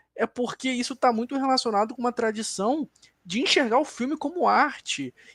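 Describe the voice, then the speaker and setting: A man speaks at a fairly quick pace in a very clean recording with a silent background and a dry, close sound with no echo. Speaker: film critic on a debate panel. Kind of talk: panel discussion. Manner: analytical, some self-corrections.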